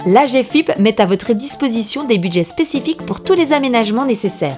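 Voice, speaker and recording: Upbeat in tone, the voice moves at a fairly quick pace with lively intonation over music in the background. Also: woman. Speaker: voice-over narrator. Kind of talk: educational awareness explainer narration. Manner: lively, conversational, upbeat.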